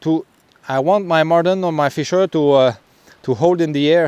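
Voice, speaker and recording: A man with a Quebec accent, fairly high pitch, ordinary pitch variation, and a fairly slow pace. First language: French. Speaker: trapper. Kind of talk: outdoor tutorial vlog. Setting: outdoors in the forest. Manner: halting, many fillers.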